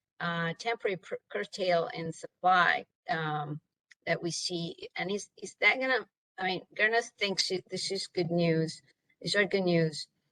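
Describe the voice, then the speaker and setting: Speaking at a fairly slow pace, a woman has a medium-pitched voice with a bright, sharp tone and ordinary pitch variation, recorded in a dry, close sound with no echo. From Italy. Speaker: webinar moderator, economist. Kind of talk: panel discussion moderation. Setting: video call.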